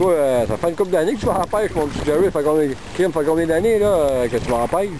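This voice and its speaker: Over noticeable background noise, someone talks at a very fast pace in a Quebec accent. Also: man, high pitch for a man, lively intonation. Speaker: fishing show host. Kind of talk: outdoor interview. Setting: outdoors at a fishing tournament. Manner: animated.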